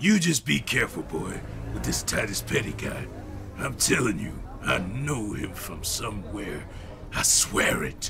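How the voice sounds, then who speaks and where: Over clear background noise, a man puts on a character voice with a very deep, low pitch at a moderate pace. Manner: gruff, scolding, fatherly.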